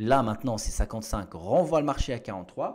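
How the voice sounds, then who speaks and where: Speaking fairly quickly, a man lets his pitch rise and fall in very wide swings. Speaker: trading educator. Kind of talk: live trading commentary. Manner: fast; halting, repeats words.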